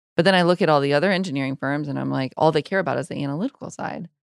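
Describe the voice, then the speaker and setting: A woman with an American accent speaks at a very deep, low pitch with ordinary pitch variation. The sound is dry and close with no echo, in a very clean recording over a silent background. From Iowa, US Midwest. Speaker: structural engineering firm CEO. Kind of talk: podcast interview.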